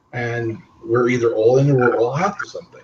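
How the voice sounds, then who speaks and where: Here a man speaks at a fairly high pitch. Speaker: webinar host, credit repair salesperson. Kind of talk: webinar interview. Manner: fast.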